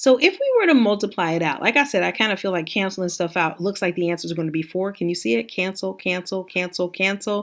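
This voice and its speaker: On a very clean recording with a silent background, a woman at medium pitch talks very fast with lively intonation and hardly any pauses. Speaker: math teacher. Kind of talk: tutorial. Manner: casual, conversational.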